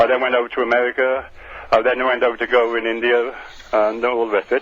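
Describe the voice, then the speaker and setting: A man with a medium-pitched voice talks at a fairly quick pace. There is noticeable noise in the background. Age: 70s. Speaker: radio phone-in caller. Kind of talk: phone-in call. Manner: halting.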